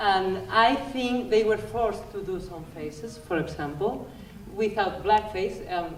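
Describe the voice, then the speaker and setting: A woman with a medium pitch and ordinary pitch variation talks at a fairly slow pace, her loudness swinging widely. Audible room echo and noticeable background noise fill the recording. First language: not English. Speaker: audience member at panel talk. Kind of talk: audience question at panel discussion. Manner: halting.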